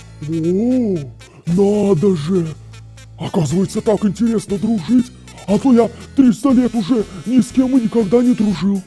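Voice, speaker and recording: Over faint music in the background, a cartoonish character voice with a warm tone and fairly high pitch speaks at a moderate pace with long, frequent pauses. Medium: puppet. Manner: delighted, warm.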